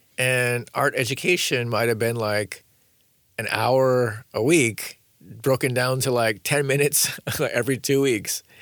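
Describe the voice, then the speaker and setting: A man uses an ordinary speaking voice at a medium pitch, with an American accent and fairly even intonation. He speaks at a fairly slow pace on a very clean recording with a silent background. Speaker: author and designer. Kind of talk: interview conversation. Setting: studio.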